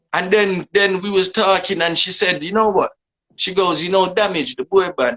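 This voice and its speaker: With a Jamaican accent, a man speaks at a moderate pace in a high pitch with fairly even intonation. The sound is dry and close, with no echo. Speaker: dancehall artist. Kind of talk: casual interview.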